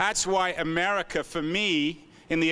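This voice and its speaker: A man with an English accent speaks at a fairly high pitch. His tone is bright and sharp, with ordinary pitch variation. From England. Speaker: author and entrepreneur. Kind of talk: keynote speech. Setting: conference stage with audience.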